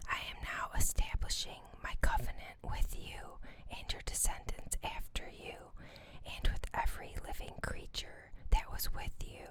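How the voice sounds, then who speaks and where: Whispering in a calm tone at a fairly slow pace. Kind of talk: ASMR scripture reading. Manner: whispered; soft-spoken, calm.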